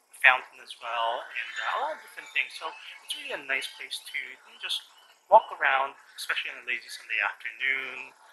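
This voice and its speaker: A man speaks at a moderate speed with noticeable noise in the background. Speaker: travel vlogger. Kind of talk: casual vlog chat. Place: street. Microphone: phone near.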